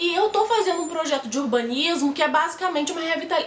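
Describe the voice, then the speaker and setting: A woman with an extremely high voice speaks fairly quickly in an animated tone with ordinary pitch variation, amid audible room echo and noticeable background noise. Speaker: architecture student vlogger. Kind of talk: casual vlog tips. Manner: fast.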